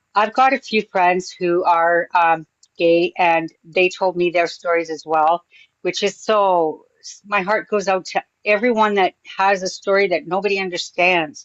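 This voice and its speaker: A woman with a plain, everyday voice talks at a fairly slow pace and a medium pitch, keeping her intonation fairly even. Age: 60s. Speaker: panelist. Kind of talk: casual chat.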